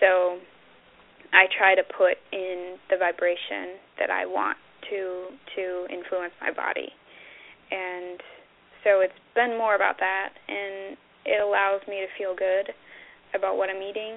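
Fairly slow, monotone speech from a woman of medium pitch, with long, frequent pauses and flat intonation. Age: 20s. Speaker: spiritual channeler and author. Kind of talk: interview.

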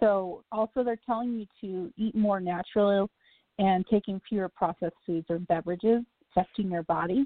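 Her pitch medium and intonation fairly even, a woman speaks at a moderate pace in an unremarkable speaking voice. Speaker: spiritual radio host and card reader. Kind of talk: live call-in radio show. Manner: casual, filler-heavy.

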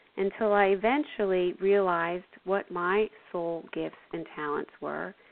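A woman with an ordinary speaking voice speaks at a fairly slow pace with ordinary pitch variation. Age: 50s. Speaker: intuitive counselor and spiritual radio show host. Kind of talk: spiritual talk with guided meditation and call-in readings. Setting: internet radio call-in show.

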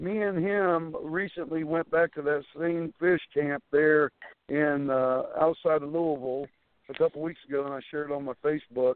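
Using an ordinary speaking voice, a man with an American accent talks at a moderate pace, his fairly high pitch held in fairly even intonation. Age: 50s. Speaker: professional wrestler. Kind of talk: interview.

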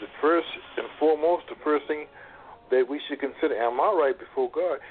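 Noticeable background noise beneath a voice with ordinary pitch variation. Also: man. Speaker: discussion guest on church. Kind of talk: call-in discussion on church.

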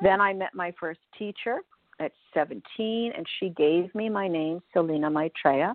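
The speaker is a woman with a fairly low pitch. She talks at a very slow pace. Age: 60s. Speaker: spirituality teacher. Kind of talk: radio interview.

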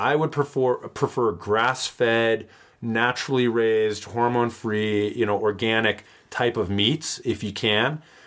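On a very clean recording with a silent background, a man with a plain, everyday voice of medium pitch talks at a fairly slow pace with ordinary pitch variation. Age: 40s. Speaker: podcast host and doctor. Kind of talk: casual chat.

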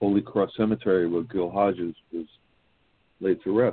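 This man speaks with a New York accent in a very deep, low voice. His intonation stays fairly even. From Brooklyn, New York City. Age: 50s. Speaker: baseball history blogger. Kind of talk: casual chat.

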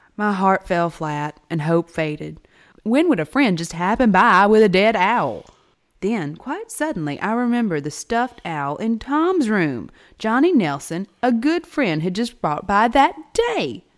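At a fairly slow pace, a woman speaks in a dramatic tone with very wide pitch swings, in a very clean recording with a silent background. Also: medium pitch for a woman. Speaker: podcast host. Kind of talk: dramatic narration. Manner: dramatic, expressive storytelling reading.

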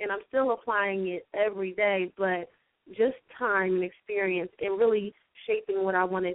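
Using a plain, everyday voice, a woman talks at a moderate pace and medium pitch with fairly even intonation. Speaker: nonprofit founder. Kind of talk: interview.

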